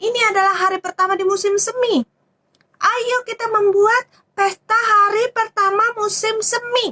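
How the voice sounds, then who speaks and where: Putting on a character voice, a woman speaks at an extremely high pitch and a moderate pace. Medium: read story.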